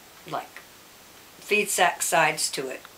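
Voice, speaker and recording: Moderately paced female speech over noticeable background noise. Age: 70s. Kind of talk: interview answer. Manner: casual, conversational.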